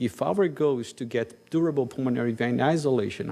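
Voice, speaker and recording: In a Brazilian accent, the speaker keeps a moderate pace with ordinary pitch variation. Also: man. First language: Portuguese. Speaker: cardiologist. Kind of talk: conference talk.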